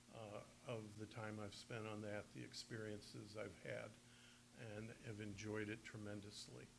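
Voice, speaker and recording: A man's fairly low voice at a fairly slow pace, very even in loudness and fairly even in intonation, with audible room echo. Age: 70s. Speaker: county prosecutor. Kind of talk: press conference announcement. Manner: hesitant, many filler words.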